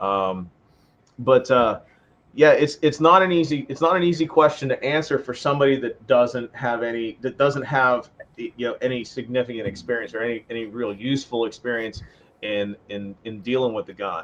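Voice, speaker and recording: In a normal speaking voice with an American accent, a man talks at a medium pitch and a moderate pace, with ordinary pitch variation and big swings in loudness. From western Pennsylvania. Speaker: firearms instructor. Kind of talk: podcast interview.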